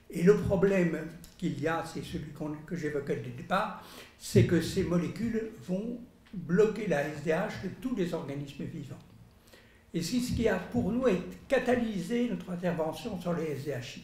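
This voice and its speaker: A man with a high pitch speaks fairly slowly, with long, frequent pauses. Room echo is audible. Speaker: lab scientist. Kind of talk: press conference. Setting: press room with audience. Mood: earnest, concerned. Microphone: podium.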